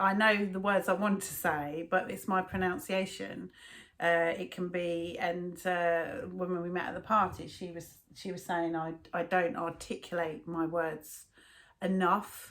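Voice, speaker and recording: With a London accent, a woman talks at a medium pitch with fairly even intonation. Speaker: video blogger. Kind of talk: casual chat. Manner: slurred, swallows words.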